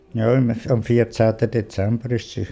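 This man's voice sits at a medium pitch and carries a dark, mellow tone on a very clean recording with a silent background. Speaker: widower. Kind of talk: personal storytelling.

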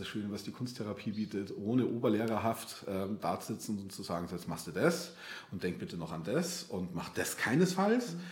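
Very wide pitch swings at a moderate pace, with audible echo from the room. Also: man. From Bavaria, outskirts of Munich. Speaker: art therapist. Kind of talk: interview conversation. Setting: in-person studio, coaching room. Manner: hesitant, many fillers and repetitions.

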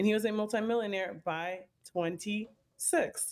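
Speaking with an American accent, a woman uses a plain, everyday voice at a moderate pace with ordinary pitch variation. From US Midwest, Chicago. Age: 20s. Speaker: marketing agency co-owner. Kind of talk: interview. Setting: remote call.

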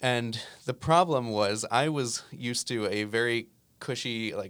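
A man with an American accent and an unremarkable speaking voice, ordinary pitch variation, in a very clean recording with a silent background. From US Northeast, New Jersey. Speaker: musician and app founder. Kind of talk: interview. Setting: studio.

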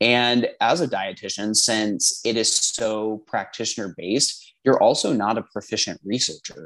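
Speaking with a Midwestern American accent, a man leaves hardly any pauses. His pitch varies in an ordinary way over a quiet background. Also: medium pitch for a man, fairly slow pace. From Indiana. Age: 20s. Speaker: dietetics graduate student. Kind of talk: casual conversation. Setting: Skype call.

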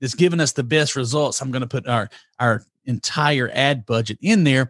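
The sound is dry and close, with no echo. A man speaks in a Southern US accent. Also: quiet background. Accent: southern drawl. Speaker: marketing agency CEO and author. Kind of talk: interview. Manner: energetic; rambling pace.

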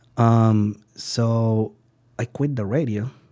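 This man has a dark, mellow tone at a medium pitch, with a Spanish accent. His intonation is flat and monotone, and the recording is very clean over a silent background. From Venezuela. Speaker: sushi chef. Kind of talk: interview. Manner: halting, many fillers.

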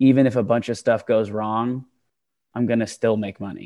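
Against a quiet background, a man talks at a medium pitch and moderate pace, his intonation fairly even. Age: 20s. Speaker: real estate investor. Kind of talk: interview. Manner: halting.

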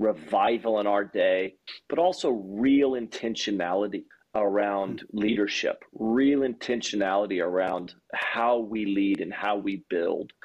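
An ordinary speaking voice from a man with an American accent, fairly low in pitch, with ordinary pitch variation, against a quiet background. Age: 40s. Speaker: pastor. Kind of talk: podcast interview.

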